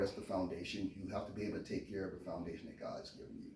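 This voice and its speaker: With a Californian accent and a fairly low pitch, a man talks over noticeable background noise and audible room echo. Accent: Californian American dialect. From US, Memphis Tennessee and California. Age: 50s. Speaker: interviewee, chef and Marine veteran. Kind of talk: interview, casual conversation. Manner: quiet, reserved.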